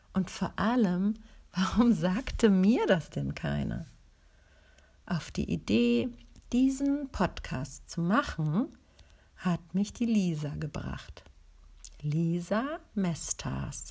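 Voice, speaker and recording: Long, frequent pauses break up the very slow speech. The recording is very clean with a silent background. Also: woman. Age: 40s. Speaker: podcast host. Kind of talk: personal introduction monologue.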